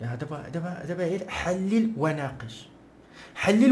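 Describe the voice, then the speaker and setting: Very wide pitch swings at a fairly slow pace, in a Moroccan accent. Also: man. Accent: Moroccan Arabic (Darija). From Morocco. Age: young. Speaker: political commentator. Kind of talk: casual commentary to camera.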